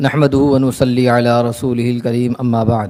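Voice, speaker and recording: This man speaks in a dark, mellow tone with flat, monotone intonation. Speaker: Islamic scholar giving a sermon. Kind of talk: Islamic sermon (bayan) in Urdu.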